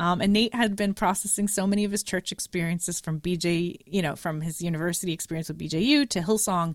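Very fast and with hardly any pauses, a woman talks in a Canadian accent. Her pitch is fairly low, with ordinary pitch variation. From Canada, Montreal. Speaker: podcaster. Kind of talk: casual chat.

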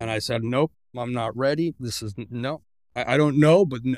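In an American accent, a man talks at a medium pitch and a moderate pace. His pitch varies in an ordinary way, on a very clean recording with a silent background. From Mexico (Guadalajara) and California. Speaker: engineer. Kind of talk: interview, personal testimony.

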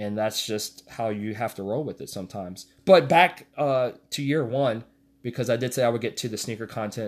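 An ordinary speaking voice from a man, medium in pitch, at a moderate pace with ordinary pitch variation, on a very clean recording with a silent background. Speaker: podcast host. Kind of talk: casual solo podcast monologue about basketball. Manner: relaxed, chatty, conversational.

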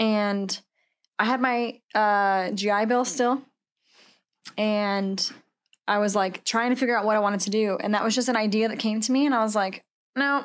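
A woman with an American accent speaks at a moderate pace, fairly high in pitch, with fairly even intonation and very even loudness, leaving long, frequent pauses. The recording is very clean, with a silent background. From Washington State. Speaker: Marine veteran and coffee roaster. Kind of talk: casual chat.

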